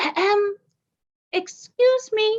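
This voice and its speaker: A woman does a squeaky put-on character voice at an extremely high pitch. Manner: polite, timid.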